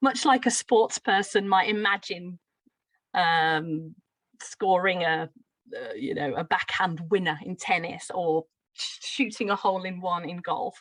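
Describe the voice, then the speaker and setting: Dry, close sound with no echo, a slight Brummie accent, ordinary pitch variation, big swings in loudness and a fairly slow pace. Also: woman, medium pitch for a woman. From Birmingham, England. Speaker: teacher trainer. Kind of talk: lecture.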